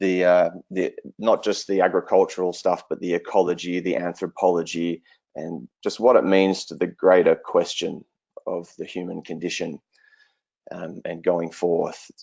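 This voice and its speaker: Speaking at a moderate speed, the man has an Australian accent. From southwestern Australia. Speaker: regenerative agriculture researcher. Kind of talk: online presentation.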